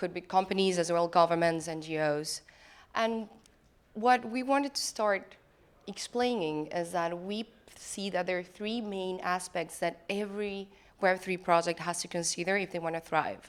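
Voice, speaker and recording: In an Argentine accent, a woman speaks at a medium pitch and a moderate pace. Her pitch varies ordinarily on a very clean recording with a silent background. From Argentina. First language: Spanish. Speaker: lawyer and web3 consultant. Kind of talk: conference talk. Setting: conference stage.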